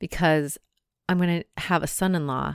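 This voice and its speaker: In a very clean recording with a silent background, a woman with a plain, everyday voice speaks at a fairly slow pace, her fairly low pitch showing ordinary variation. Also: dry, close sound with no echo. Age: 40s. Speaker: podcast host; mother and substitute teacher. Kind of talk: solo reflective monologue. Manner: casual, conversational.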